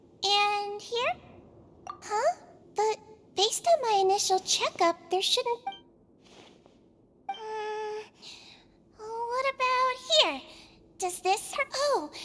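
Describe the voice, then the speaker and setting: A woman's squeaky, put-on character voice at an extremely high pitch, very slow, with long, frequent pauses and ordinary pitch variation. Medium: video game. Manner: soft, soothing.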